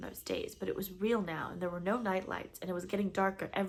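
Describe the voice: The clip is plain reading aloud. Nothing more is heard than that delivery.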